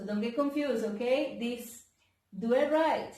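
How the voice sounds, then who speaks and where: An animated woman's voice, fairly high in pitch, in a Spanish accent, with audible room echo. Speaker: physical therapist. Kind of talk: exercise tutorial. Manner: halting.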